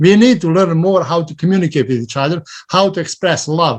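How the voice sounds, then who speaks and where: Moving at a fairly quick pace, this man speaks with a non-native accent. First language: not English. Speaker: interfaith clergy member. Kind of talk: invitation and reflection at service.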